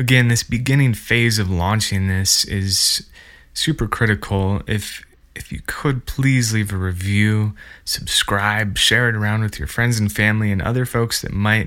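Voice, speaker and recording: With a Montana accent, a man speaks at a fairly low pitch. His pace is fairly slow and his pitch variation ordinary. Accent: American, Montana. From central Montana. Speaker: podcast host, woodworker and maker. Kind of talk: solo podcast monologue. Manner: casual, enthusiastic.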